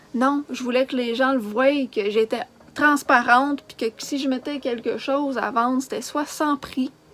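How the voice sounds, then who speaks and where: Her voice sits high for a woman, with fairly even intonation. She talks at a moderate pace over noticeable background noise. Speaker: charity organizer vlogger. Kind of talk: emotional rant vlog. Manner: agitated.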